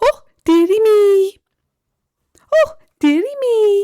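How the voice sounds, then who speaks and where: A woman's put-on character voice, extremely high-pitched and very slow. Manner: fussy, exasperated.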